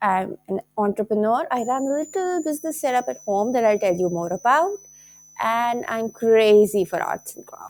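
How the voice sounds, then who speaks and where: The speaker has a Pakistani accent and talks at a moderate pace. Their pitch swings very widely, and the loudness rises and falls sharply. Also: woman, fairly high pitch for a woman. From Lahore, Pakistan. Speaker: teacher and craft entrepreneur. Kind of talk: casual talk to camera.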